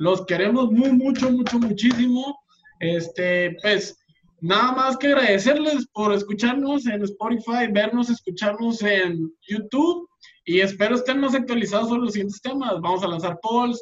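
Speaking in a Mexican accent, a man talks at a fairly slow pace with a high pitch and ordinary pitch variation. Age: 20s. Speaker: podcast co-host. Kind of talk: casual chat.

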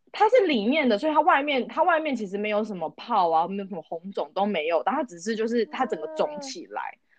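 A woman talks at a fairly quick pace and fairly high pitch, with hardly any pauses. Her pitch swings very widely. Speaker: podcast co-host. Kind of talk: casual chat.

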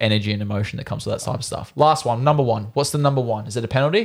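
Here a man with an Australian accent speaks at a medium pitch with ordinary pitch variation. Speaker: goalkeeper podcast co-host. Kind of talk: casual chat.

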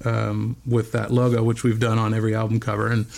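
A man's medium-pitched, flat, monotone delivery with a West Coast accent. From Bend, Oregon. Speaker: metal band frontman and graphic designer. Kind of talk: casual interview. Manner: many fillers.

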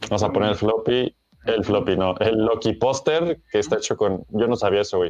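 A man with a Mexican accent at a fairly quick pace, with lively intonation and a dry, close sound with no echo. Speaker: podcast host. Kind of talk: casual chat.

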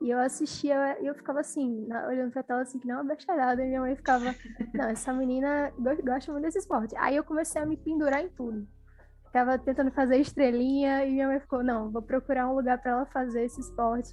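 Talking at a very fast pace, a woman uses a high voice with fairly even intonation. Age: 20s. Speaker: journalism student and sports commentator. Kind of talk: casual chat.

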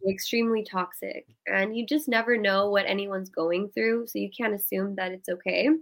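Speaking fairly quickly with hardly any pauses, the voice carries an American accent and fairly even intonation. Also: woman, medium pitch for a woman. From US South. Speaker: pageant titleholder and mental health advocate. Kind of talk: interview. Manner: smooth.

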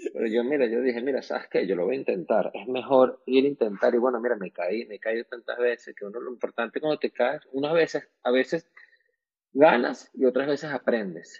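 With a normal speaking voice, a man talks at a fairly quick pace at medium pitch, using ordinary pitch variation. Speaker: beauty salon entrepreneur. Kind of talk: casual chat. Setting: at home.

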